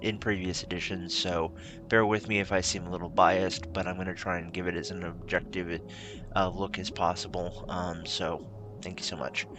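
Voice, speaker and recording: Over background music, a soft-spoken man talks at a moderate pace with a very deep, low pitch and fairly even intonation. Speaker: tabletop game youtuber. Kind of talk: tutorial. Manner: halting.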